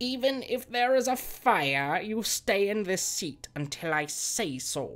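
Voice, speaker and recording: A female-sounding put-on character voice at a medium pitch, fairly slow yet with hardly any pauses. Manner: stern, through gritted teeth.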